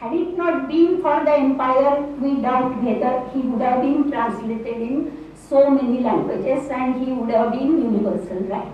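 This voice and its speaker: A woman with a Marathi accent speaks at a moderate pace, her pitch high with ordinary variation. Noticeable background noise sits behind her. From Maharashtra, India. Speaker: English professor. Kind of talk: lecture. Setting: university hall with audience.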